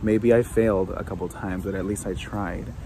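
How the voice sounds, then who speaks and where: A man's fairly low pitch with ordinary pitch variation at a moderate pace, dry with no echo, amid noticeable background noise. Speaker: vlogger. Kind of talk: casual vlog chat. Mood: reflective, thoughtful. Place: garden. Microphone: phone near.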